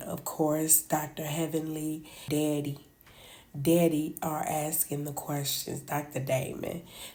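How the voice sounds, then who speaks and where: A woman speaks in a very deep, low pitch with a dark, mellow tone. She goes at a fairly slow pace, with audible room echo. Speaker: reality TV commentator. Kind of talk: casual chat.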